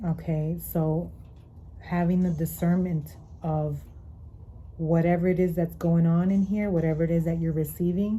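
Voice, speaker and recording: Over audible room echo, a woman speaks at a fairly slow pace in a monotone, flat intonation, her fairly low, somewhat breathy voice dark and mellow in tone. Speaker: tarot reader. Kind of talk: tarot reading. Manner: slower, deeper at times.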